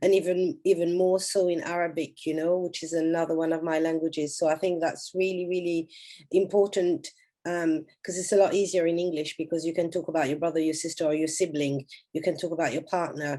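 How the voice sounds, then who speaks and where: A woman's fairly low, dark, mellow voice, monotone and flat in intonation, at a fairly quick pace. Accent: French. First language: French. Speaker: conference organizer. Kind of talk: panel discussion wrap-up.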